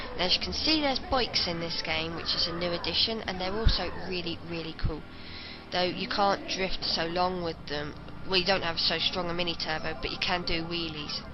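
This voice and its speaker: A woman's fairly low voice at a fairly quick pace, with ordinary pitch variation, audible room echo and music in the background. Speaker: video game reviewer. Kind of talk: commentary over gameplay. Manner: occasional stutter.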